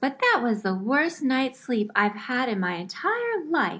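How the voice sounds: A woman puts on a character voice, high in pitch and fairly slow in pace.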